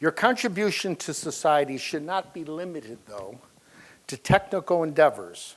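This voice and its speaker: In a plain, everyday voice, a man speaks at a moderate pace with lively intonation. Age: 60s. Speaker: software company founder. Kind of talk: speech. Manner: formal.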